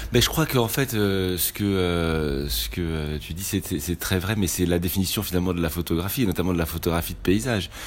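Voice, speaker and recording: Hardly pausing, a man talks fairly quickly in a very deep, low pitch with lively intonation. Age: 40s. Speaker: photographer. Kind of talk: interview. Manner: halting, many repetitions and hesitations.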